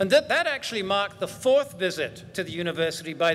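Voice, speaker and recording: Noticeable background noise surrounds a man speaking at a high pitch. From Great Britain. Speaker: university chancellor. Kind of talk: ceremonial welcome speech. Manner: formal.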